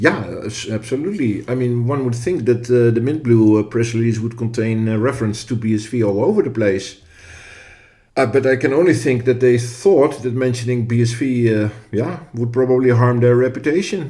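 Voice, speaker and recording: A man with a Dutch accent talks at a moderate pace in a medium pitch. His tone is dark and mellow, with ordinary pitch variation. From Netherlands. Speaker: podcast co-host. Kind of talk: podcast discussion. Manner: hesitant, with fillers.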